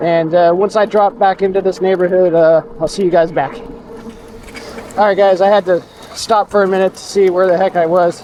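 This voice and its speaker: Over noticeable background noise, the voice holds a very even loudness and a monotone, flat intonation at a moderate pace. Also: man, high pitch for a man. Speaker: e-bike vlogger. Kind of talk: casual ride vlog narration. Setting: outdoors riding a bike. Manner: mumbling.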